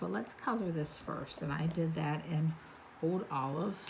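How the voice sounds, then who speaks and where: Soft-spoken, a woman with a very deep, low voice speaks at a fairly slow pace, with audible room echo around her. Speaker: card-making instructor. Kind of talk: tutorial. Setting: home craft room, late at night. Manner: quiet, soft-spoken.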